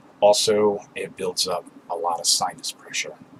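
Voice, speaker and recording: A man's voice comes out shaky. Noticeable background noise runs underneath. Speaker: spiritual video maker. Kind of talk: monologue to camera.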